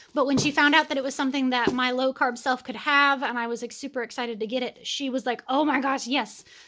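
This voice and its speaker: Raised and projected, a woman's high, bright, sharp voice races along at a very fast pace in an animated tone. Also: hardly any pauses. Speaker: homesteading mother, vlogger. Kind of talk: casual vlog, unboxing haul.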